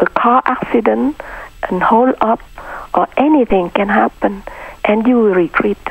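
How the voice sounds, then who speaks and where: A woman speaks at a fairly slow pace with long, frequent pauses, her pitch fairly high with ordinary variation and her loudness very even, in a dry, close sound with no echo over noticeable background noise. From Vietnam. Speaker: Buddhist nun and peace teacher. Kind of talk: interview. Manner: halting.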